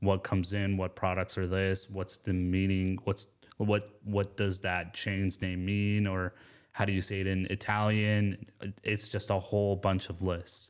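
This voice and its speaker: A man with an American accent speaks in a fairly low, monotone, flat voice at a fairly slow pace. The recording is very clean, with a silent background. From US South, Atlanta suburbs. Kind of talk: casual interview.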